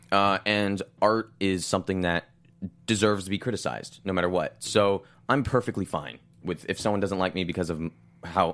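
Over music in the background, a man talks at a fairly quick pace, his very deep, low voice keeping fairly even intonation. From Los Angeles. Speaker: actor on a soap opera. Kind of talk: casual interview.

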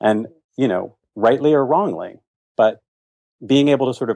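Against a quiet background, a man with an American accent speaks in a dark, mellow tone with ordinary pitch variation. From Virginia, US. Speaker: school speech therapist, accent coach. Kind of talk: casual interview conversation.

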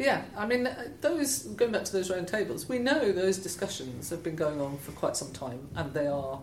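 In a Scottish accent, the speaker's pitch swings very widely, with noticeable background noise and audible room echo. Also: woman. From Scotland. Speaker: head of environmental charity. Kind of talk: interview conversation.

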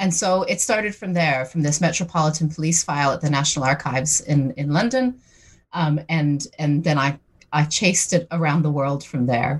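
A woman's very deep, low-pitched, somewhat breathy voice at very even loudness and a moderate pace. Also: ordinary pitch variation. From Newfoundland, Canada. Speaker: historian. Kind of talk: interview. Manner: hesitant with repetitions.

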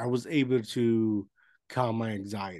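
Here a man talks with a Spanish accent at a medium pitch. The background is quiet. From Puerto Rico. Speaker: podcast host. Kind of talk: casual interview. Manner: halting.

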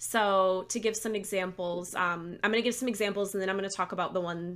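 A woman with an American accent has a plain, everyday voice at a medium pitch. She talks at a fairly quick pace with fairly even intonation. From Michigan, Lansing area. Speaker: school psychologist and author. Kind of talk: casual interview chat.

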